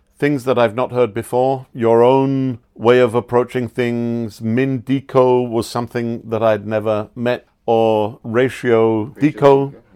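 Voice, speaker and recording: A man with an English accent talks at a very slow pace, with hardly any pauses and a monotone, flat intonation. His tone is dark and mellow, and the background is quiet. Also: medium pitch for a man. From England. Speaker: standards auditor. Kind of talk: interview explanation. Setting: on location at a dive center.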